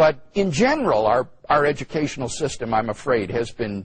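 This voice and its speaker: Over a quiet background, a man speaks at a moderate pace in a somewhat breathy voice. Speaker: interviewee, professor. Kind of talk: interview answer. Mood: earnest, critical. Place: studio. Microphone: lapel.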